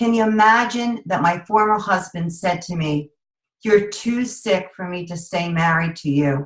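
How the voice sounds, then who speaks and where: Somewhat breathy, a woman talks at a fairly low pitch and a moderate pace, with ordinary pitch variation. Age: 50s. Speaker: network marketing director, former teacher. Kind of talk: sales pitch with personal testimony. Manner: animated.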